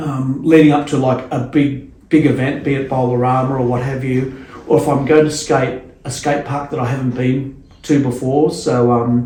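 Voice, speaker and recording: With an Australian accent, a man speaks at a moderate pace and a medium pitch, his dark, mellow tone somewhat breathy, his intonation fairly even, and audible room echo around him. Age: 50s. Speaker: skateboarder and skate photographer. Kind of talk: casual chat. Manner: halting, many repeated words.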